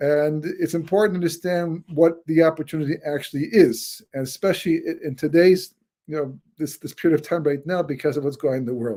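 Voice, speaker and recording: A man's dark, mellow tone at a fairly high pitch, fairly quick in pace, with ordinary pitch variation. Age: 60s. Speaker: rabbi and author. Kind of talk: webinar lecture. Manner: halting, many repetitions and fillers.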